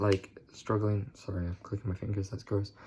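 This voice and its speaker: With fairly even intonation, a man talks in a fairly low, somewhat breathy voice. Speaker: vlogger. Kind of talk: casual talk to camera.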